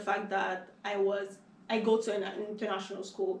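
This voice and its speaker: With a Haitian accent, a woman speaks at a medium pitch and moderate pace in a monotone, flat tone, with audible room echo and noticeable background noise. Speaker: business student. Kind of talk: casual chat.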